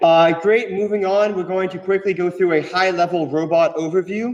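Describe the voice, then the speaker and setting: A loud, high-pitched man's voice at a fairly quick pace, with ordinary pitch variation. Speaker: student engineer presenting robot design. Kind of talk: technical presentation. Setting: echoey room with audience and microphone.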